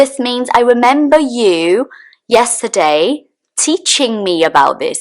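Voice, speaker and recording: This woman speaks with a British accent and a high pitch. Her pitch swings very widely. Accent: British accent learned in the UK. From Brazil. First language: Portuguese. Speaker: English teacher. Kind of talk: tutorial. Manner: clear, deliberate enunciation.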